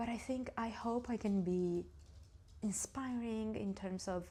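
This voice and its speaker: A woman with an Italian accent, ordinary pitch variation and a fairly slow pace. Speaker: knitting vlogger. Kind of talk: casual vlog talk. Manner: halting.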